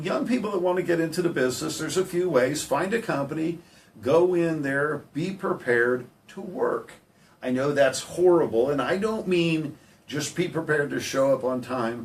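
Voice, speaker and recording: A man's fairly high voice with lively intonation over noticeable background noise. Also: moderate pace. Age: 60s. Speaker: heating and air business owner. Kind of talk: radio interview. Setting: radio studio.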